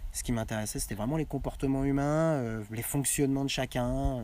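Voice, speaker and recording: Fairly quick speech with a dark, mellow tone. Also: man. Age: 30s. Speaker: coach. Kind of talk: casual chat. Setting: outdoors. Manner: halting.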